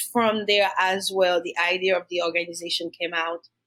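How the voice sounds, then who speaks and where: A woman speaks at a moderate pace with a Haitian accent. Her pitch sits in the middle range. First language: Haitian Creole or French. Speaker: domestic violence survivor and nonprofit founder. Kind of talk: podcast interview, personal testimony. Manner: hesitant, many fillers.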